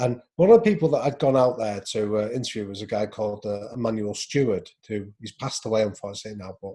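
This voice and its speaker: Against a quiet background, a man with a dark, mellow tone and a somewhat breathy voice speaks at a fairly quick pace, his pitch medium with ordinary pitch variation. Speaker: professor and author. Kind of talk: casual interview. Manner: hesitant, fillers.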